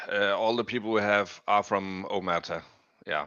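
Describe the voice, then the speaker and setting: A man with a Danish accent speaks at a fairly slow pace. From Denmark. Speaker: crypto gaming community member. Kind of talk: interview. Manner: halting.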